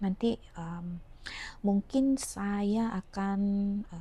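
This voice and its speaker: Ordinary pitch variation in a medium-pitched woman's voice. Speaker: home cooking vlogger. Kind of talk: cooking tutorial. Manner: casual, halting.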